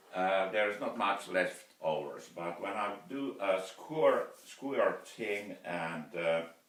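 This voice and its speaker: Noticeable background noise accompanies a man with a Finnish accent who speaks at a very slow pace with hardly any pauses, his fairly low pitch showing ordinary pitch variation. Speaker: woodturner. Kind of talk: video blog tutorial. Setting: wood turning workshop. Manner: halting, many fillers.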